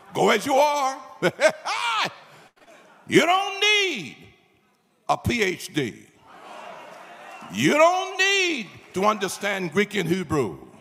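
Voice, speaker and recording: A man talks at a very slow pace, his speech broken by long, frequent pauses. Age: 80s+. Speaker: pastor. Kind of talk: sermon. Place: hall. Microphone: handheld.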